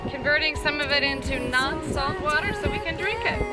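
At a moderate pace, a voice speaks with a dry sound and no echo over loud music in the background. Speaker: sailing vlogger. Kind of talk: casual vlog commentary. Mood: cheerful, enjoying the day. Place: boat. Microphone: phone near.

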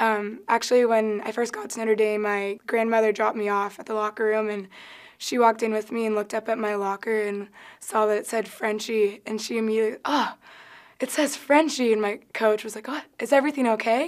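With an American accent, a woman speaks at a fairly quick pace and fairly high pitch, her intonation fairly even against a quiet background. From Southern California, South Orange County; Southern California. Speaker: college volleyball player. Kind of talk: interview. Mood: cheerful, amused. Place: studio.

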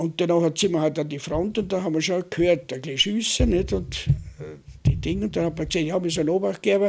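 A man talks at a very fast pace in a high pitch. His pitch varies in an ordinary way, against a quiet background. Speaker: war veteran. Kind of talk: oral history interview. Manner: halting. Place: home room. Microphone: studio mic.

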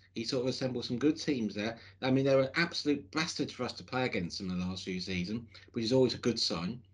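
Against a quiet background, a man's voice makes very wide pitch swings. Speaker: football fan podcast host. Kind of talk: casual podcast commentary. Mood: hopeful, reflective. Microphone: video call.

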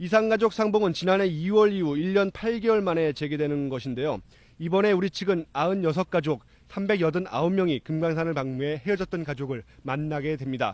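A high-pitched man with ordinary pitch variation against a quiet background. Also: moderate pace. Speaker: news reporter. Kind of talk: live news report. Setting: on location in Sokcho.

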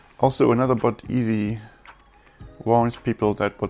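A man speaks at a moderate pace with fairly even intonation and a fairly low pitch. Faint music plays in the background. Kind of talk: casual coding commentary. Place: home room.

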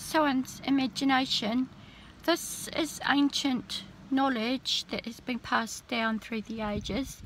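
Speaking very slowly, a woman with a high voice shows ordinary pitch variation, and the dry recording has no echo and only light background noise. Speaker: spiritual vlogger. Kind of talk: casual vlog chat. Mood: earnest, calm conviction. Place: car. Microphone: phone near.

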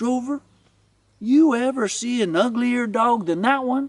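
Using a put-on character voice, a man speaks at an extremely high pitch with ordinary pitch variation. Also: fairly slow pace.

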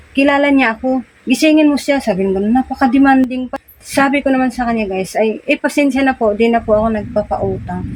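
A woman speaks at a fairly quick pace with high pitch and fairly even intonation while music plays in the background. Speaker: vlogger and sari-sari store owner. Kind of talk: casual vlog storytelling.

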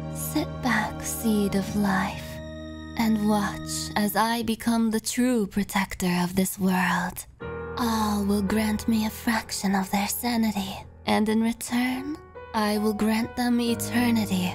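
A female-sounding voice does a put-on character voice at medium pitch and a fairly slow pace. Clear music plays in the background. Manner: calm, menacing, grandiose.

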